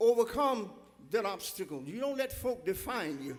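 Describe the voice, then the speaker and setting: A man speaks at a moderate pace in an extremely high pitch that moves through very wide pitch swings. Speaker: preacher, church pastor. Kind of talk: sermon delivered to a congregation. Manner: impassioned, emphatic, preaching cadence.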